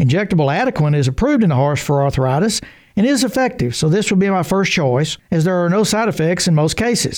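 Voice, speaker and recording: Talking at a fairly quick pace, a man speaks in a high voice. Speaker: veterinarian. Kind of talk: scripted radio segment.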